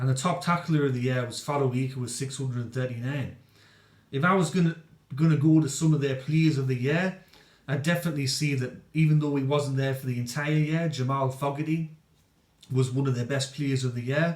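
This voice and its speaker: A man's fairly high voice, somewhat breathy, with fairly even intonation and a fairly quick pace. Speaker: rugby league commentator. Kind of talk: casual sports review to camera.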